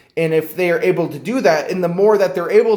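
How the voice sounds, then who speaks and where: Ordinary pitch variation from a male speaker. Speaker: student. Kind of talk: class assignment video explanation. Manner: halting, hesitant with fillers.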